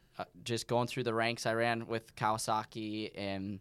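A man speaks in a monotone with flat intonation and an American accent. The recording is very clean, with a silent background. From US. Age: 20s. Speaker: off-road racing driver. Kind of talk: casual chat.

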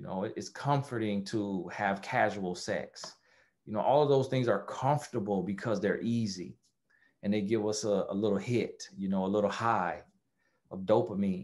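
An ordinary speaking voice with an American accent, ordinary pitch variation and a moderate pace, over a quiet background. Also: man, fairly low pitch for a man. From USA. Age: 30s. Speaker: life coach. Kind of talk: interview.

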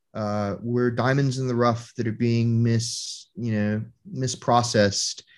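Against a quiet background, a man with a normal speaking voice talks at a fairly slow pace in a medium pitch with fairly even intonation. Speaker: Marine veteran. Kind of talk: casual chat.

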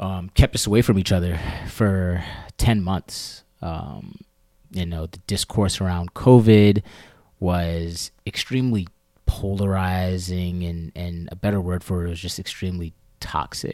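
A man with an American accent talks at a fairly slow pace in a very deep, low pitch, his intonation fairly even but his loudness swinging widely, on a very clean recording with a silent background. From US, Maryland near DC. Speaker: podcast co-host. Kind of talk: casual discussion.

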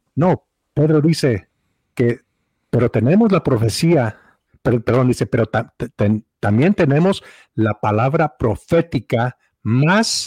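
Speaking at a very slow pace, a man with a medium pitch and a somewhat breathy voice uses lively intonation and very even loudness, captured in a very clean recording with a silent background and a dry, close sound with no echo. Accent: Mexican. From Mexico. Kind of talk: casual theological discussion. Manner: halting, frequent repetitions.

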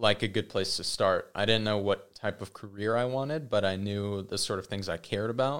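Fairly low-pitched male voice, a plain, everyday voice, with ordinary pitch variation at a moderate pace, in a very clean recording with a silent background. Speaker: podcast guest. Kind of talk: casual chat.

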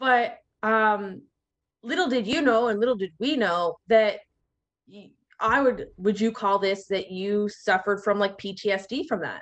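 A woman's normal speaking voice, fairly high in pitch and fairly slow, with ordinary pitch variation and big swings in loudness. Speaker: podcast host. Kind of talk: casual interview chat.

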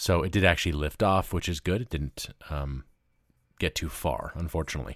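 At a moderate pace, a man with an American accent speaks in a very deep, low pitch with vocal fry and ordinary pitch variation, recorded very cleanly against a silent background in a dry, close sound with no echo. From US South, Memphis, Tennessee. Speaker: podcast host and radio host. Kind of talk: solo news commentary. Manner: casual, conversational with laughs.

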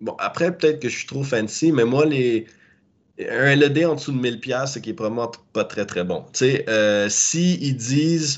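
A man talks at a medium pitch in an unremarkable speaking voice with ordinary pitch variation. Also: fairly slow pace. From Quebec. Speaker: cannabis grower. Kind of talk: interview. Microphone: laggy connection.

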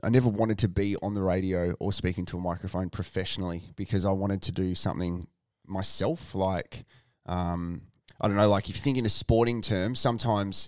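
A man with an Australian accent sounds confident at a fairly low pitch with fairly even intonation. The recording is very clean with a silent background. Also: moderate pace. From born in Ballarat, raised in Tasmania, living in Adelaide. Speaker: radio presenter and announcer. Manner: practised, confident on microphone.

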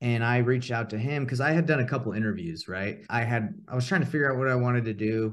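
A man's medium-pitched voice with an American accent, at a very fast pace with lively intonation and hardly any pauses, over a quiet background. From US South, Atlanta, Georgia. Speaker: real estate investor and coach. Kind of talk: casual interview chat.

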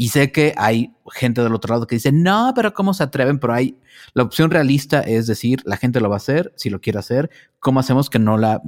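In a normal speaking voice, a man talks at a fairly quick pace with a medium pitch and lively intonation. The recording is very clean, with a silent background. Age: 40s. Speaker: podcast host. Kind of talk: interview.

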